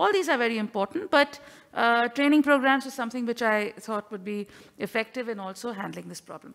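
At a fairly quick pace, a woman with an unremarkable speaking voice talks at a fairly high pitch with ordinary pitch variation against a quiet background. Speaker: astronomy professor. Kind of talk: conference talk. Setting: in-person conference. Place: hall.

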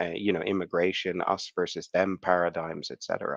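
A man's very deep, low voice at a moderate pace, dry and close with no echo. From Netherlands. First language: Dutch. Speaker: lecturer in Islamic studies. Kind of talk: conference talk. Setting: video call.

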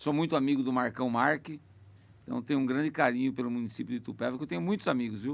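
Very fast speech from a man, his pitch varying in an ordinary way. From Sorocaba, São Paulo state, Brazil. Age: 50s. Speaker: mayor and politician. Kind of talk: podcast interview. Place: studio. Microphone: studio mic.

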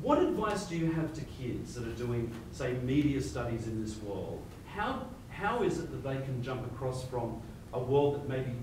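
A man speaks at a moderate pace with lively intonation. Audible room echo and noticeable background noise surround him. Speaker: radio host. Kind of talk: radio interview questions. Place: hall.

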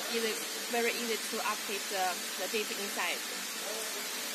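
Loud background noise runs behind a woman speaking. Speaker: presenter. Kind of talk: product demonstration. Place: factory. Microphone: phone near.

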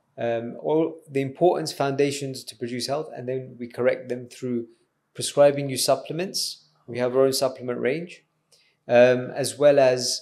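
In a dark, mellow tone, a man speaks at a medium pitch and moderate pace with monotone, flat intonation. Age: 30s. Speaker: doctor running an anti-ageing business. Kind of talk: podcast interview. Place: studio. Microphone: studio mic.

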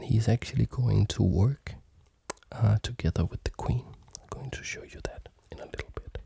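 A soft-spoken voice in a dry setting with no echo, broken by long, frequent pauses. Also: moderate pace. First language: not German; learning German. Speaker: chess teacher and video creator; chess teacher, video creator. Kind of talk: tutorial. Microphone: studio mic.

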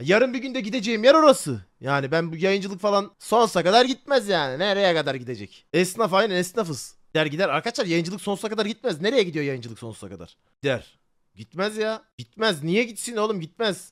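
With hardly any pauses, a man speaks at a high pitch and makes very wide pitch swings. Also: fairly quick pace. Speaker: live streamer. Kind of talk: casual chat with live audience. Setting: online livestream, reading chat. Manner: casual, animated.

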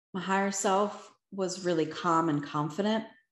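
At a fairly slow pace, a woman with an American accent talks with ordinary pitch variation against a quiet background, with audible room echo. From Philadelphia, US. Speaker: motivational speaker and life coach. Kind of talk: Q&A answers; talk with personal testimony. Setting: video call. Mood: reflective, a bit nervous. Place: home room.

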